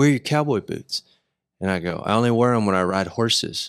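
Speaking with a Texas accent, a man talks at a moderate pace in a medium-pitched voice with ordinary pitch variation. The recording is very clean, with a silent background. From Texas, Decatur. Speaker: podcast host and musician. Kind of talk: casual chat.

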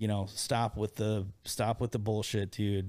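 A man with a Midwestern American accent, fairly low pitch and a dark, mellow tone at a moderate pace, on a very clean recording with a silent background. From US Midwest, Iowa. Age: 40s. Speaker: entrepreneur. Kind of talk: casual chat.

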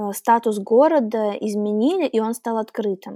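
Recorded very cleanly with a silent background and a dry, close sound free of echo, a woman speaks in a fairly high voice with a dark, mellow tone. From Russian Far East, Primorsky Krai. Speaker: podcast guest. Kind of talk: casual interview. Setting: studio.

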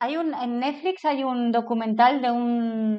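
A fairly slow, fairly high-pitched woman's voice in a normal speaking voice, with ordinary pitch variation. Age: 40s. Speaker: business consultant and trainer. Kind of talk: casual interview.

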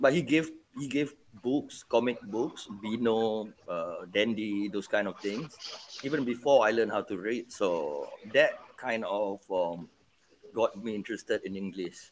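A man speaks at a fairly slow pace and medium pitch, his pitch varying in an ordinary way over noticeable background noise. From Penang, Malaysia. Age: 40s. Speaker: podcast host. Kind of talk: casual chat.

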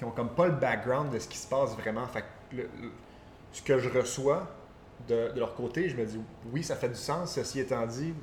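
A somewhat breathy male voice at a moderate pace, with ordinary pitch variation, big swings in loudness, long, frequent pauses and audible room echo. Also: medium pitch for a man. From Quebec. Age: 20s. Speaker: entrepreneur and former golfer. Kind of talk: casual interview.

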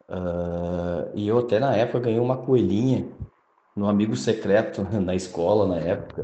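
A man speaks with a southern Brazilian accent and lively intonation. His tone is dark and mellow, and the room echo is audible. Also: moderate pace. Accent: gaúcho Brazilian Portuguese. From Rio Grande do Sul, Brazil. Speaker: night security guard, listener. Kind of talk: recorded personal testimony.

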